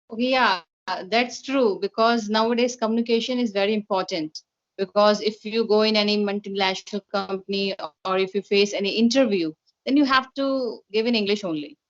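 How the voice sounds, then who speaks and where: Speaking at a fairly quick pace in an Indian accent, a woman with a fairly high voice uses ordinary pitch variation, in a dry, close sound with no echo. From India, Kolkata. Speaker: interviewer, English practice partner. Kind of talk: casual chat. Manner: hesitant, with fillers.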